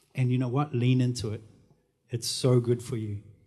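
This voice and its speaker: A man speaks at a medium pitch with a dark, mellow tone. His voice is somewhat breathy and his pace moderate. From New Zealand. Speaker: marketing and branding professional. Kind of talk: panel discussion.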